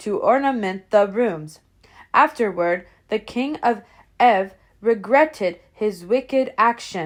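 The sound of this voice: What is heard is an unforced reading voice.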